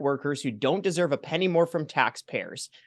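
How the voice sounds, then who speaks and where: Against a quiet background in a dry, close sound with no echo, a man talks in an animated tone at a high pitch, with ordinary pitch variation and a fairly quick pace. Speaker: taxpayer advocacy director. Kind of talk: political commentary interview. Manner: fast.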